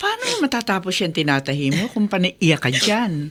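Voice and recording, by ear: A woman puts on a character voice, fairly low in pitch with very wide pitch swings, at a moderate pace. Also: fairly bright tone.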